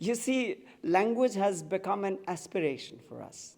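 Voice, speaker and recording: A man speaks in a Tibetan accent with a high pitch. His intonation is lively. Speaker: writer and activist. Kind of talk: public speech.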